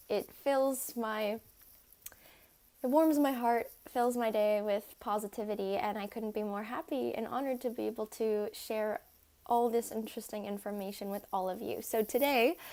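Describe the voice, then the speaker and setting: Speaking at a moderate pace, a woman has a fairly high pitch and a dark, mellow tone. She uses ordinary pitch variation and speaks with an American accent. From United States. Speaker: ballet dancer. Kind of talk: casual talk to camera.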